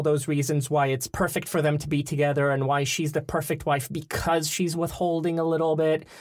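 A man talks at a fairly quick pace. His voice sits fairly high in pitch. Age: 30s. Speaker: theater performer. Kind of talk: casual chat. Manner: playful, jokey.

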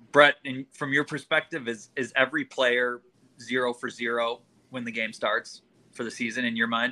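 A medium-pitched man with a bright, sharp tone and monotone, flat intonation, at a moderate pace, in a dry, close sound with no echo. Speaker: sports show panelist. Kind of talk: casual sports chat.

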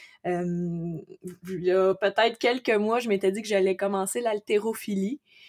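Very slow speech from a woman at a medium pitch, fairly even in intonation, dry and close with no echo. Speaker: entrepreneur, amateur boxer. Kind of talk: interview.

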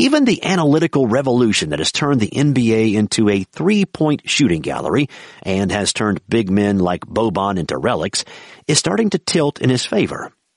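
The speaker sounds animated at a fairly quick pace, with very wide pitch swings, a quiet background and a dry, close sound with no echo. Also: man, medium pitch for a man. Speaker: audiobook-style narrator reading a sports feature. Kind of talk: sports narrative audiobook reading, scripted and vivid, smooth storytelling cadence. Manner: animated, brisk and punchy with wry humor, building energy on the big stats.

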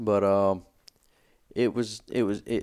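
At a fairly slow pace, a man is speaking. His pitch is fairly low.

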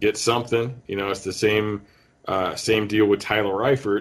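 In a very clean recording with a silent background, a man with an American accent speaks at a moderate pace in an ordinary speaking voice with a fairly low pitch. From Northern Ohio. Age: 40s. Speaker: podcast host and football analyst. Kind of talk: casual film breakdown and chat.

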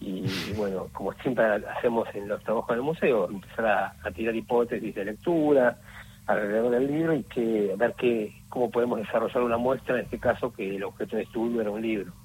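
A man with a plain, everyday voice talks at a fairly quick pace and a medium pitch. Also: ordinary pitch variation. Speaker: museum exhibition curator. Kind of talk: interview.

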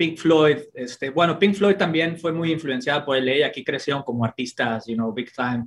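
This man has a fairly high pitch and a somewhat breathy voice. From Mexico City. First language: Spanish. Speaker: music promoter and producer. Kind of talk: interview.

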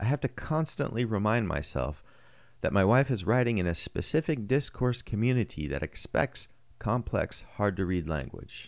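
Vocal fry runs through a man's fairly low voice as it moves in very wide pitch swings at a moderate pace, recorded very cleanly with a silent background. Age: 40s. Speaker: technical writer and blogger. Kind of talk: reading aloud.

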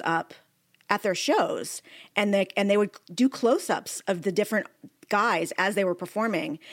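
Using an ordinary speaking voice, a woman talks at a moderate pace with her pitch in the medium range. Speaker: TV critic and podcast co-host. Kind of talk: casual interview chat.

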